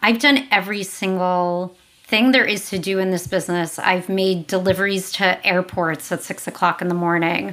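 With an American accent, a woman speaks at a fairly slow pace in a medium pitch and fairly even intonation over noticeable background noise. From New York City. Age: 40s. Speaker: company founder. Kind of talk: interview.

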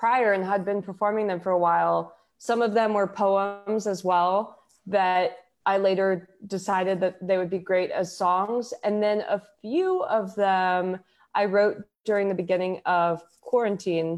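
In an American accent, a plain, everyday voice moves at a fairly slow pace with very even loudness and fairly even intonation. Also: woman. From Houston, Texas. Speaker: singer-songwriter and poet. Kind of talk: casual interview chat.

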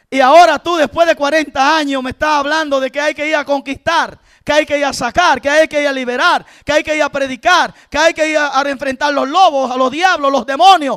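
The man's pitch is extremely high, his tone bright, sharp and animated. The sound is dry and close, with no echo. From rural south of the country. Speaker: preacher. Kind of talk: sermon.

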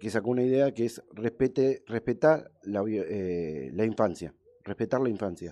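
This man has an ordinary speaking voice, medium in pitch, and keeps a moderate pace. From Argentina, Buenos Aires area. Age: 40s. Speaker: radio sports show host. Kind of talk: live radio interview.

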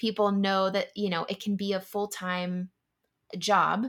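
A woman with a Californian accent speaks at a fairly slow pace in a medium pitch, on a very clean recording with a silent background. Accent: Californian American English. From US West Coast, San Diego, California. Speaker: food company founder. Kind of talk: interview.

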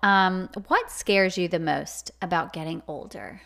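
A woman speaks in a normal speaking voice at medium pitch. Her pace is fairly slow. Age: 30s. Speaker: podcast co-host. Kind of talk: casual chat.

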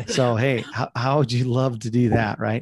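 Monotone, flat intonation at a moderate pace. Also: man. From South Dakota. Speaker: ministry leader and public speaker. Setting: video call.

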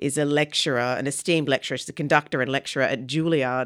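A woman with an Australian accent and a very deep, low voice is heard in a very clean recording with a silent background and a dry, close sound with no echo. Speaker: arts festival director. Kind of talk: radio interview.

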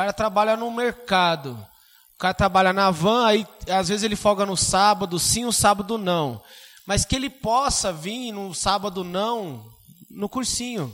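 A man speaks at a fairly slow pace in a high voice with ordinary pitch variation. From Suzano, São Paulo state, Brazil. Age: 30s. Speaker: geography and history teacher. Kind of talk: casual chat.

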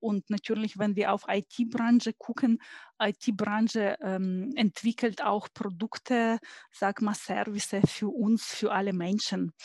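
A woman speaks very slowly in a somewhat breathy, fairly high voice with fairly even intonation. The recording is very clean, with a silent background and a dry, close sound with no echo. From Ukraine. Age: 40s. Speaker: engineer and IT consultant. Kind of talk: interview.

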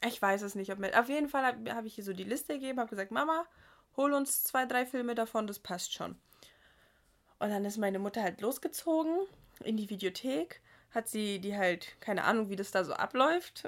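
A woman speaks at a fairly quick pace with a fairly high pitch, lively intonation and an animated tone, on a very clean recording with a silent background. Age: 20s. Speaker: podcast co-host. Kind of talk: casual chat. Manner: animated, laughing often.

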